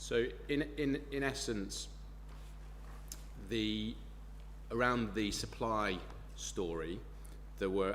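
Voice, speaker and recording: With a British accent, a man speaks amid audible room echo and noticeable background noise. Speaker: expert witness. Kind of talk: witness testimony. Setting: planning inquiry hearing.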